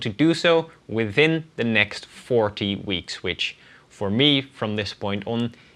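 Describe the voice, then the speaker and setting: In a Dutch accent, a man speaks at a fairly low pitch with a bright, sharp tone. The background is quiet. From Netherlands. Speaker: language learner vlogger. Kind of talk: casual vlog monologue.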